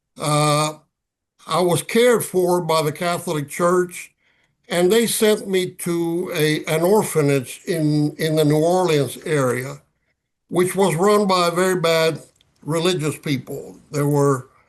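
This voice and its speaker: Speaking very slowly in a Spanish accent, a man keeps his loudness very even at a high pitch with ordinary pitch variation. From Cuba. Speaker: retired ambassador, author. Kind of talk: interview. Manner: halting, with fillers.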